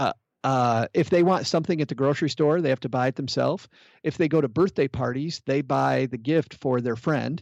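A fairly high-pitched man speaks with ordinary pitch variation. The sound is dry and close with no echo, over a quiet background. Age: 40s. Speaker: personal finance podcaster. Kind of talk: interview. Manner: halting.

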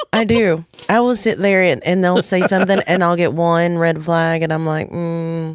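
A woman with fairly low pitch at a moderate pace. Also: fairly even intonation. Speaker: podcast guest. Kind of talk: casual chat.

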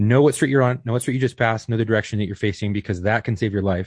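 A man talks at a very fast pace in a medium pitch with ordinary pitch variation. His voice is somewhat breathy, and the background is quiet. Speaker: podcast host. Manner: fast talker.

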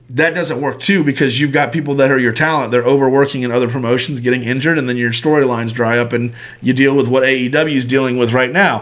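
Speaking very fast, a man talks at a fairly high pitch. Audible room echo colors the recording. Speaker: podcast co-host. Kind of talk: casual chat.

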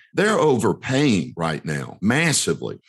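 A man with an American accent. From US South, North Carolina. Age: 50s. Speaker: real estate investor and educator. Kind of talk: interview.

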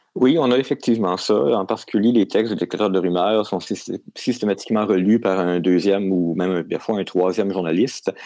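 A man with a fairly low pitch, a dark, mellow tone, ordinary pitch variation and a fairly quick pace. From Quebec. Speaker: science journalist. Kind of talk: interview.

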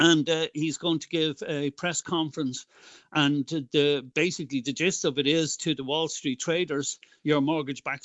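A man's fairly high, monotone voice in an Irish accent at a moderate pace, with flat intonation. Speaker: political activist. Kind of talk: interview.

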